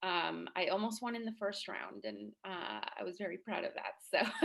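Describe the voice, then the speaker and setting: A woman speaks in a bright, sharp tone with vocal fry. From Chihuahua, Mexico. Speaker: city councilor. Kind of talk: panel introduction.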